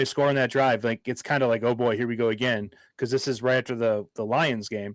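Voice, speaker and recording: With an unremarkable speaking voice, a man talks at a moderate pace and medium pitch with ordinary pitch variation, the recording very clean with a silent background and a dry, close sound with no echo. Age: 30s. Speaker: sports podcast co-host. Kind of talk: casual chat.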